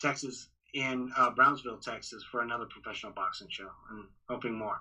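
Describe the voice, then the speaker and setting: A man speaks at a medium pitch and a fairly quick pace, his intonation fairly even. His tone is bright and sharp, with big swings in loudness. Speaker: boxing ring announcer. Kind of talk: podcast interview answer. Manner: casual, hesitant.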